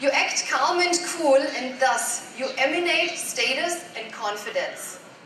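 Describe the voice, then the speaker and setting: Over noticeable background noise and audible room echo, a woman talks at a high pitch. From Germany. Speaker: life coach. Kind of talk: motivational talk. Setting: stage with audience.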